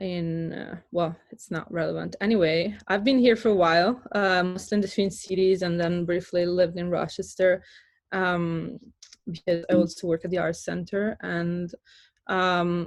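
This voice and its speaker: A woman with a fairly low pitch speaks at a moderate pace with fairly even intonation. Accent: Italian. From Italy, near Florence. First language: Italian. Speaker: artist. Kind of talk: artist talk presentation. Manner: hesitant, many fillers.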